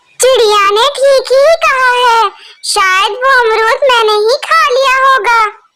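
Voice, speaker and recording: A cartoonish character voice at an extremely high pitch. It moves at a fairly slow pace. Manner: plaintive, bewildered.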